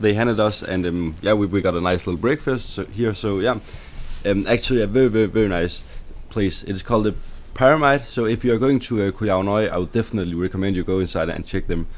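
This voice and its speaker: With a Danish accent, a man talks at a very fast pace with ordinary pitch variation. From Denmark. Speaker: travel vlogger. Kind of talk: casual talk to camera.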